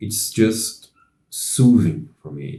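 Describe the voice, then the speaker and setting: A man with a non-native accent speaks at a fairly low pitch, his tone dark and mellow. His voice is somewhat breathy, and his intonation is lively. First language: not English. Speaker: music channel host. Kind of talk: casual monologue. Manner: halting, many fillers.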